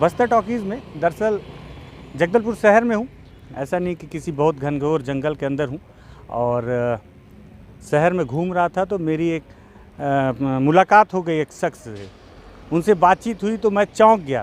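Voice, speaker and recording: This man's voice sits at a high pitch. He speaks with lively intonation. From India, Bastar, Chhattisgarh. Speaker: local journalist and video host. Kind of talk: street interview vlog.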